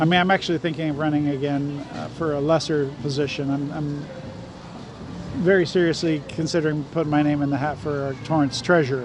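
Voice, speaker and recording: A fairly high-pitched man with an American accent, fairly quick and monotone, with audible room echo and noticeable background noise. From Southern California. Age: 60s. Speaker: former city councilman. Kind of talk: casual chat.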